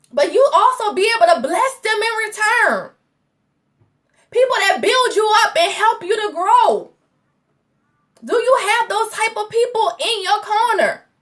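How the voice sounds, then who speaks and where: A woman speaks loudly at an extremely high pitch with an animated tone. Her pace is fairly slow, with long, frequent pauses. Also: ordinary pitch variation. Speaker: faith coach. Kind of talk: motivational livestream talk. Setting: Facebook live stream.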